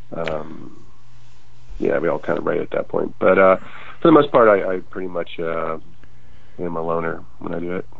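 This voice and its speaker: Over noticeable background noise, a man speaks at a moderate pace. He leaves long, frequent pauses. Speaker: musician, band frontman. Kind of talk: interview chat.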